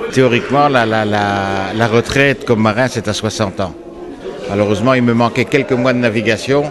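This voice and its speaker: Noticeable background noise sits behind a man speaking at a moderate pace. His medium pitch follows fairly even intonation. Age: 60s. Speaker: unemployed former sea captain. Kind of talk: interview testimony.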